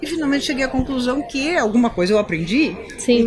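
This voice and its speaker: Music sits in the background. A woman with a high pitch talks at a fairly quick pace with lively intonation. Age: 50s. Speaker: horse breeder and veterinarian. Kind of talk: casual interview. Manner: animated.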